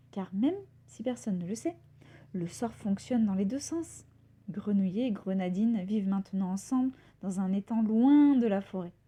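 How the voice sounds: Lively intonation marks this woman's speech, which has a medium pitch and a dark, mellow tone. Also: moderate pace.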